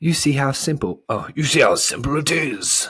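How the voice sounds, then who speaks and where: Using a put-on character voice, a man talks at a moderate pace, fairly high in pitch with ordinary variation. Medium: read story. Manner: loud, blustering.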